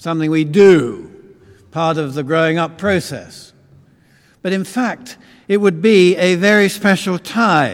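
A man with a southern English accent, high in pitch, with ordinary pitch variation, a fairly slow pace and long, frequent pauses. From London, England. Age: old. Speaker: visiting preacher. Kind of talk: sermon. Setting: church.

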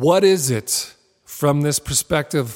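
On a very clean recording with a silent background, a man with a fairly high pitch and ordinary pitch variation speaks in a plain, everyday voice. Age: 40s. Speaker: artist and creativity teacher. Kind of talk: interview conversation; guided meditation.

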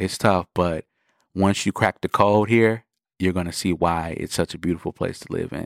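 At a moderate pace, a man with an American accent speaks in an animated tone at a very deep, low pitch, on a very clean recording with a silent background and dry, close sound with no echo. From US Midwest, Milwaukee, Wisconsin. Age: 20s. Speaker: music producer. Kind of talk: interview monologue.

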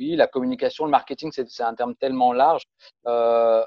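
Fairly even intonation marks this man's speech at a medium pitch. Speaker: communications consultant and musician. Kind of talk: interview. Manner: halting with repetitions.

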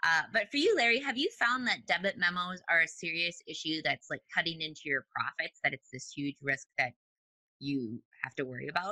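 A woman with a Minnesotan accent talks at a moderate pace in a fairly low pitch with very wide pitch swings. Her tone is bright and sharp, and the sound is dry and close with no echo. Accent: Minnesotan, long O vowels. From US Midwest, Minnesota. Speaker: podcast host. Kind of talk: interview. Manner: animated.

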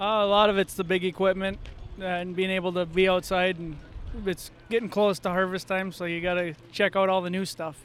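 A man's high-pitched voice with an Upper Midwest accent, monotone and flat, at a fairly quick pace. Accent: Upper Midwest (Minnesota). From Minnesota. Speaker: farmer and ag salesman. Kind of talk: casual interview. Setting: farm show.

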